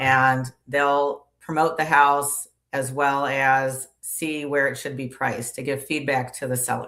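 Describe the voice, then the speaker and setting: A woman talks with a very deep, low pitch. Her pace is fairly slow and her intonation monotone and flat. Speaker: loan officer sales trainer guest. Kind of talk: live podcast interview.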